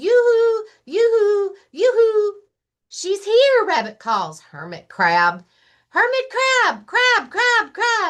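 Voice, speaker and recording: Using a put-on character voice, a woman speaks at a very slow pace in an extremely high, squeaky pitch. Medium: read story. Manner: eager, excitable.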